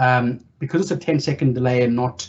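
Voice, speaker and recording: The speaker is a man. His voice is somewhat breathy. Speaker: data consultancy director moderating Q&A. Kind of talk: tech meetup Q&A answers. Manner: fast.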